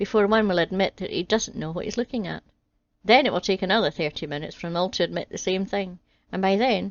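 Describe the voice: Over quiet surroundings, plain reading aloud and ordinary pitch variation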